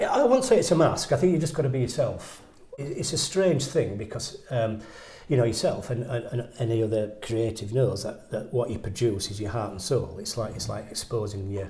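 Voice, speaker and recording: With noticeable background noise and audible room echo, a man speaks at a fairly quick pace with lively intonation. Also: medium pitch for a man. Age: 60s. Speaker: painter. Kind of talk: interview conversation. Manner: halting, repetitive stammering.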